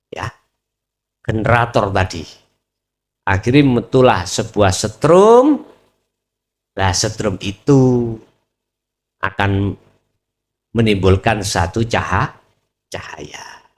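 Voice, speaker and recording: Somewhat breathy, a man with a Javanese accent speaks at a very slow pace with long, frequent pauses. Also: medium pitch for a man, ordinary pitch variation. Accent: Javanese-accented Indonesian. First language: Javanese (speaking Indonesian). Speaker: Islamic preacher. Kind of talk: religious lecture. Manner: casual, code-switching Javanese and Indonesian.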